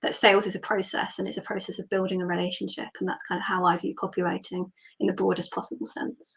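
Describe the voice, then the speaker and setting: Speaking very fast, a woman with an English accent uses a medium pitch. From England, Hereford. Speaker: copywriter. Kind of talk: interview.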